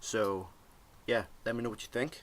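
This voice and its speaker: A man's fairly low voice in a Northern Irish accent, ordinary pitch variation, fairly quick pace. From Northern Ireland. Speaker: tech product reviewer. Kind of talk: product review, casual vlog. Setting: home desk, webcam recording. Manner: casual, many fillers. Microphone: laptop webcam recording.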